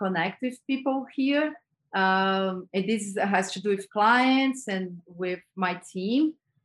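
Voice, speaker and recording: A woman with a Brazilian accent at a fairly slow pace, ordinary pitch variation, and a quiet background. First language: Portuguese. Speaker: advertising creative director. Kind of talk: interview conversation. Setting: video call.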